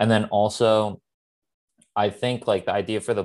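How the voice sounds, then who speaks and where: A man speaks with an American accent in a fairly low voice. He goes at a moderate pace against a quiet background. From US Northeast, Philadelphia (Northeast Philly). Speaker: clothing brand founder. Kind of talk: interview.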